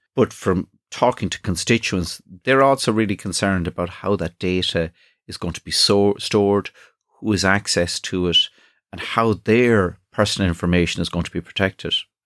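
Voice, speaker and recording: A fairly low-pitched man with an Irish accent and fairly even intonation. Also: moderate pace, very clean recording, silent background. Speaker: politician and podcast host. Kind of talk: scripted intro and interview.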